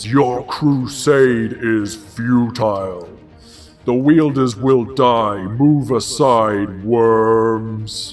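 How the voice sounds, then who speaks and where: Bellowing in a put-on character voice, a man speaks at a very slow pace over faint background music. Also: medium pitch for a man. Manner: bellowing, menacing.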